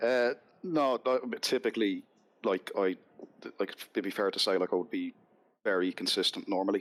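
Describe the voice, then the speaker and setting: A man with a Dublin accent at a moderate pace, the sound dry and close with no echo. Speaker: sim racing driver. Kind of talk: casual chat.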